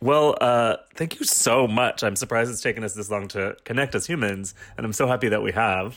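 An unremarkable speaking voice from a man, medium in pitch, at a fairly quick pace with hardly any pauses and ordinary pitch variation. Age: 40s. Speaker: podcast host. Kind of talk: casual interview chat.

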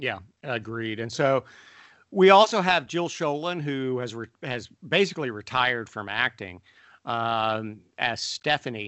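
In a normal speaking voice, a man at medium pitch talks at a fairly slow pace with lively intonation and big swings in loudness. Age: 40s. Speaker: podcast co-host, pastor and father. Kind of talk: casual chat.

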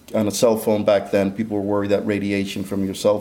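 Fairly quick speech from a man with a dark, mellow tone and fairly low pitch, plus audible room echo. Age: 50s. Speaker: inventor and entrepreneur. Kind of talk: interview.

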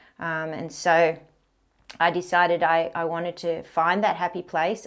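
A woman's fairly low pitch in an Australian accent with monotone, flat intonation, on a very clean recording with a silent background. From Australia, Canberra. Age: 50s. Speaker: professional kitesurfer and mountain guide. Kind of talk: interview conversation.

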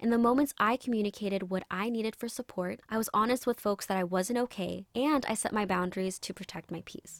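A woman has an ordinary speaking voice, fairly high in pitch with ordinary pitch variation. She talks at a fairly quick pace, and the sound is dry and close with no echo. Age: 20s. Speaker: podcast host. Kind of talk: personal monologue.

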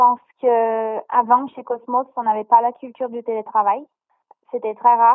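Speaking at a moderate pace, a woman with a fairly high pitch uses monotone, flat intonation. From Brazil. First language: Portuguese (speaking French). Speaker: content creator. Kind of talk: interview.

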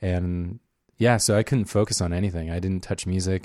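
An unremarkable speaking voice at a moderate pace, captured in a very clean recording with a silent background. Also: man. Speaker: podcast host. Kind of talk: casual banter between co-hosts. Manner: joking, playful.

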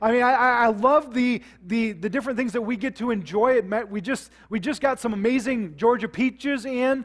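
A man with an American accent and an extremely high pitch talks fairly quickly with hardly any pauses and ordinary pitch variation. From US Midwest, South Dakota. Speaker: pastor. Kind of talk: sermon. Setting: church service with congregation, streamed online. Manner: halting, frequent repetitions.

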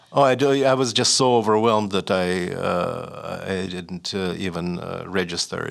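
A man with a Russian accent, fairly low in pitch, with ordinary pitch variation at a moderate pace and hardly any pauses. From Russia (Leningrad / Saint Petersburg). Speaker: writer and professor. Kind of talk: interview. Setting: studio. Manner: halting, with frequent repetitions and fillers.

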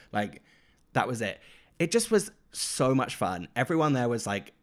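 A man with a British accent, in a very clean recording against a silent background. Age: 30s. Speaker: podcast co-host. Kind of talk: casual chat.

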